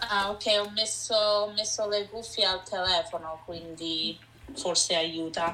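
A woman speaks at a very slow pace, medium in pitch, with ordinary pitch variation. Noticeable background noise runs underneath. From Vancouver, Canada, Italian-Canadian family. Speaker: food blogger. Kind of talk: interview.

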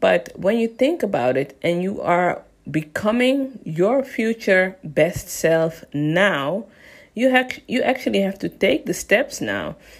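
On a very clean recording with a silent background, a woman speaks at a very slow pace and a medium pitch. Her voice shows vocal fry and very wide pitch swings. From Netherlands, Amsterdam. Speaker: business coach and podcast host. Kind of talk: solo podcast talk. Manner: casual and conversational.

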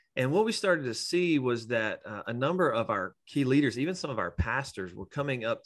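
Against a quiet background, a man talks in an ordinary speaking voice at medium pitch and a moderate pace, with lively intonation. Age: 40s. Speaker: pastor. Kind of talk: casual interview.

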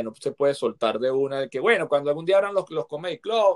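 A man with a normal speaking voice talks at a fairly quick pace and fairly high pitch. The sound is dry and close, with no echo. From Venezuela. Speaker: actor and comedian. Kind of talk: casual interview.

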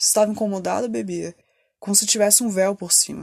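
A woman with a plain, everyday voice, medium pitch and a fairly quick pace. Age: 30s. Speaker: podcaster in addiction recovery. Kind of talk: personal testimony monologue.

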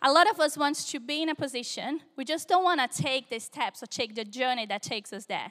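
Speaking at a moderate pace in a raised, projected voice, a woman with a Brazilian accent has a high pitch, a bright, sharp tone and very wide pitch swings, in a dry, close sound with no echo. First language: Portuguese. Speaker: preacher. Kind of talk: sermon. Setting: church service, live audience.

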